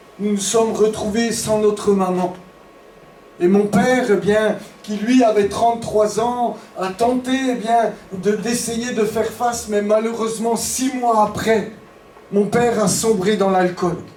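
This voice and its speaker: Over noticeable background noise and audible room echo, a high-pitched man speaks very slowly in an Alsatian accent, with monotone, flat intonation and long, frequent pauses. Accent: eastern French (Alsatian-tinged). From eastern France, Franche-Comté and Strasbourg. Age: 50s. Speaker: pastor. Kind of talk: testimony. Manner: hesitant, many fillers.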